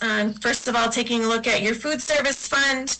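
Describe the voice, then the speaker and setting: Audible room echo surrounds a woman with a fairly high pitch and fairly even intonation. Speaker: auditor. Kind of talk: financial presentation to school board. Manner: fast.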